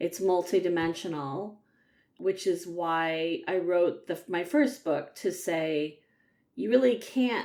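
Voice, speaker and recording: A woman with a normal speaking voice, pitched fairly low. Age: 60s. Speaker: psychotherapist and author. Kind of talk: interview.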